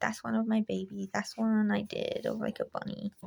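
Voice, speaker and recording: In a dry, close recording with no echo, a woman speaks at a moderate pace in a shaky voice. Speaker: hobby artist youtuber. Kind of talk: sketchbook tour, casual talk to camera. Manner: hesitant, many ums and likes.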